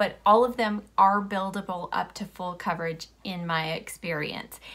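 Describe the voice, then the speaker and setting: Her tone bright and sharp, a woman speaks at a fairly slow pace with ordinary pitch variation. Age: 40s. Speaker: beauty vlogger. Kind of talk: product review tutorial. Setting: home video recording. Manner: animated. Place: home room.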